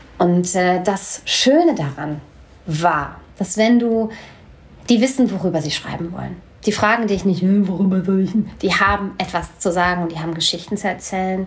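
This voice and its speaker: At a moderate pace, a woman talks in a somewhat breathy voice of medium pitch with ordinary pitch variation. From Hanau, Hesse, Germany. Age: 40s. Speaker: slam poet and storyteller. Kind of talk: casual interview chat. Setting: sitting together over coffee.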